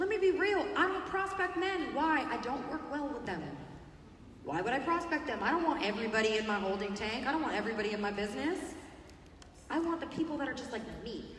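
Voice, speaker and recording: Talking at a very fast pace, a woman with a high pitch and very wide pitch swings sounds animated, with audible room echo and noticeable background noise. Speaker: network marketing speaker. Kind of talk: motivational talk. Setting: stage with audience.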